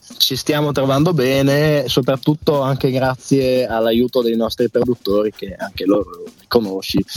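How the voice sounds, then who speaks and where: A man talks with a medium pitch and ordinary pitch variation over noticeable background noise. The sound is dry and close, with no echo. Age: 20s. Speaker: band singer. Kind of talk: radio interview.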